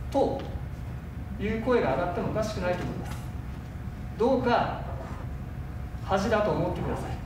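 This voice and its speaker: Over noticeable background noise and audible room echo, a man with a high pitch speaks at a fairly quick pace but leaves long, frequent pauses. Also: ordinary pitch variation. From Hiroshima, Japan. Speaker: city mayor. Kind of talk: speech in city council. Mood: stern, reproachful. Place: hall.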